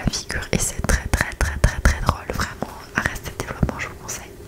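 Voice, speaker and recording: A woman whispering at a fairly quick pace amid noticeable background noise. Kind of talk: ASMR whisper talk about TV series. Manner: whispered very close to the mic, soft, relaxing.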